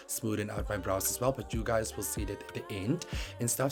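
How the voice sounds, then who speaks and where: A man's medium-pitched voice with ordinary pitch variation, music in the background. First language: not English. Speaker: makeup YouTuber. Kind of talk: tutorial voiceover. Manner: casual, filler-heavy.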